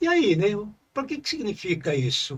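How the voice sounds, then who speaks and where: Here a man talks at a moderate pace in a high voice. His pitch swings very widely. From Brazil, rural farm. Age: 70s. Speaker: retired university professor. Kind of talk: interview. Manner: halting, many fillers.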